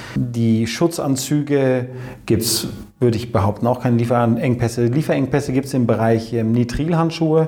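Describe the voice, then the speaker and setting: Over noticeable background noise, a man of medium pitch talks at a fairly quick pace with ordinary pitch variation. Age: 40s. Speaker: company managing director. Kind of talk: interview.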